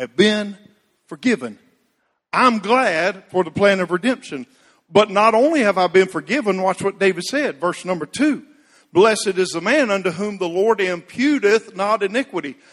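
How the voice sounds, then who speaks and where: A loud, high-pitched male voice with lively intonation at a moderate pace, dry and close with no echo. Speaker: preacher. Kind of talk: sermon. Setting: church.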